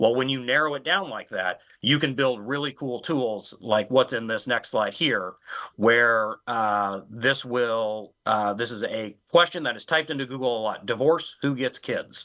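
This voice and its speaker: A man speaks fairly slowly in a bright, sharp tone. His pitch variation is ordinary. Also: medium pitch for a man, quiet background. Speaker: legal tech panelist. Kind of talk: panel webinar presentation.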